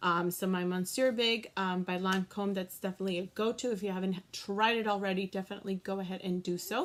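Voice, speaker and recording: Using an American accent, a woman talks at a fairly quick pace in a medium pitch with ordinary pitch variation. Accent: Boston accent, occasional. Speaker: beauty vlogger. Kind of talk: tutorial. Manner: casual, many fillers.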